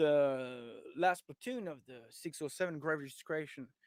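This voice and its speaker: Heard in a very clean recording with a silent background and a dry, close sound with no echo, a man with a French accent speaks at a fairly high pitch with ordinary pitch variation. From France. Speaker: historian and tour guide. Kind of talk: lecture. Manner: halting, with many fillers.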